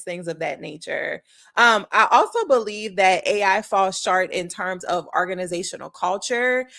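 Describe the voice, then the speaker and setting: In a South Louisiana accent, the voice has a bright, sharp tone, ordinary pitch variation and a moderate pace with hardly any pauses, on a very clean recording with a silent background. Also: woman. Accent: South Louisiana Southern US. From US South, South Louisiana. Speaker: leadership consultant. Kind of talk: talking-head video essay. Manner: measured, with frequent filler words.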